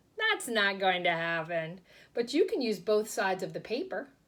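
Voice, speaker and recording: A woman's put-on character voice, medium-pitched with a warm tone, at a moderate pace on a very clean recording against a silent background. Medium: read story. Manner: warm, encouraging.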